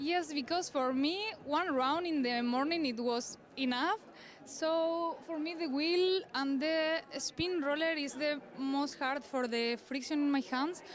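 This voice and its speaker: A woman with a Spanish accent speaks at a very slow pace in a high pitch. Her pitch variation is ordinary. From northern Spain. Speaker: obstacle course athlete. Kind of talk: post-competition interview. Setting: sports venue. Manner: halting.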